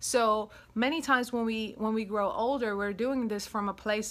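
Warm and upbeat in tone, a woman speaks with a European accent. Her pitch is fairly high and her pace moderate. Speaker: self-love coach and podcast host. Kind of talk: solo podcast monologue about self-love. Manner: warm, upbeat, chatty, frequent laughs.

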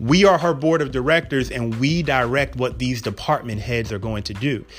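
Over noticeable background noise, a man speaks at a medium pitch and a fairly quick pace with ordinary pitch variation. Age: 40s. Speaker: podcast host and physician. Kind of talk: casual solo podcast talk.

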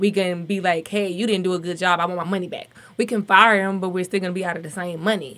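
With a Southern US accent, the speaker races along at a very fast pace in a bright, sharp tone and monotone, flat intonation. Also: woman, medium pitch for a woman. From Alabama. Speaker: marketing entrepreneur. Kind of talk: radio panel discussion. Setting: studio.

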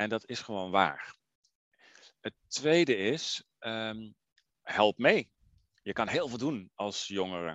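A man's medium-pitched voice with lively intonation, at a very slow pace with long, frequent pauses, dry and close with no echo. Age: 40s. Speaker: environmental organisation director. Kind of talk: interview. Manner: hesitant, many filler sounds.

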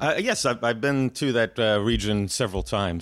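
Recorded very cleanly against a silent background, a man speaks at a fairly low pitch with ordinary pitch variation. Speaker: podcast co-host. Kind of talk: casual interview conversation. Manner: casual, halting, uses filler words.

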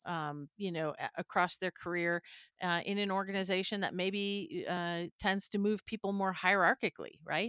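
At a moderate pace and medium pitch, a woman speaks in a plain, everyday voice with ordinary pitch variation, recorded very cleanly with a silent background. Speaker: podcast co-host. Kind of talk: casual interview.

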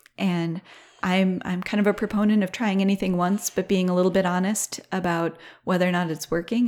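Speaking fairly quickly in a flat, monotone way, a woman with an American accent is heard in a very clean recording with a silent background. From southeast Minnesota. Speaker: sheep farmer and nonprofit program director. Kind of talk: casual interview.

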